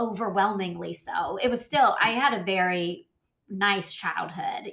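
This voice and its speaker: With an American accent, a woman speaks at a moderate pace with ordinary pitch variation. She has a plain, everyday voice. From US South, North Georgia (Rossville). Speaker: podcast co-host. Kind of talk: casual chat.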